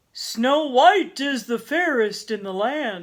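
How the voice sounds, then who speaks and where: A woman's put-on character voice, high in pitch, at a fairly slow pace with very wide pitch swings. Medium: read story.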